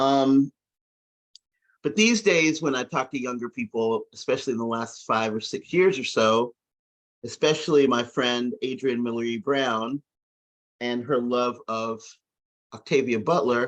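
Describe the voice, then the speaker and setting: A man at medium pitch with an American accent, a fairly slow pace, ordinary pitch variation and long, frequent pauses, in a dry, close sound with no echo. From US South, rural. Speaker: science fiction discussion group member. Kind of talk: casual discussion. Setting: video call.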